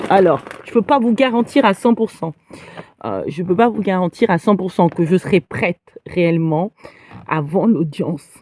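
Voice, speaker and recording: A woman at a fairly slow pace, medium in pitch, with lively intonation, big swings in loudness and long, frequent pauses, in a dry, close sound with no echo. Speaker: livestreamer. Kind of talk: live stream monologue. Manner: hesitant, many fillers.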